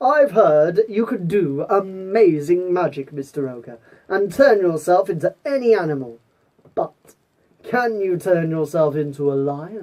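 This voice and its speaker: Fairly slow pace and middle pitch in a put-on character voice. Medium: read story. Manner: crafty, persuasive.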